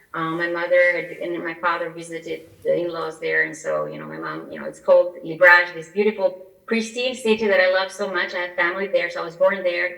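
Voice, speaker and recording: A woman at a fairly quick pace with hardly any pauses, over noticeable background noise. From Albania. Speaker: immigration attorney. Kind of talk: interview.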